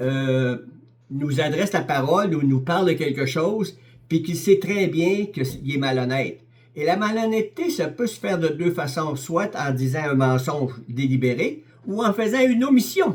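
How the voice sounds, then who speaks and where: This man talks with a Quebec accent and lively intonation. His pitch is fairly high. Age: 70s. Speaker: lay preacher. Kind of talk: sermon. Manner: halting, many repetitions and hesitations.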